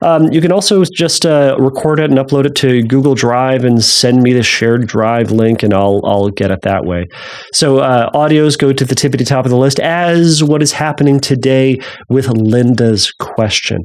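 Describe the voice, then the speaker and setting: A man talks at a moderate pace and medium pitch, with ordinary pitch variation. His loudness stays very even despite noticeable background noise. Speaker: podcast host and licensed therapist. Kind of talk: casual podcast monologue. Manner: rambling with many fillers.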